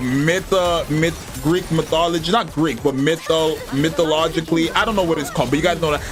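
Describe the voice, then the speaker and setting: A man's fairly high voice moves at a moderate pace against noticeable background noise. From Canada. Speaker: gaming streamer. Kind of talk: casual chat. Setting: livestream. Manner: animated.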